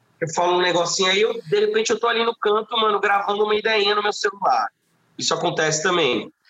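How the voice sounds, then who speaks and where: Raising and projecting his high-pitched voice, a man talks at a very fast pace, and the sound is dry and close with no echo. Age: 30s. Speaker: singer-songwriter. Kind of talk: casual chat.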